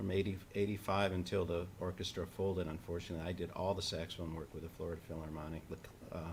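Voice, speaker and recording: A man's very deep, low, somewhat breathy voice, flat and monotone, at a very fast pace. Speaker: saxophonist and educator. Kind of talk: interview conversation. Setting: online live stream.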